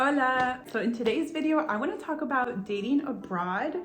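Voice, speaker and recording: The voice moves at a moderate pace with lively intonation, amid noticeable background noise and audible room echo. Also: woman. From US, Peruvian American family. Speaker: travel vlogger. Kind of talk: casual vlog monologue. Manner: casual, filler-heavy.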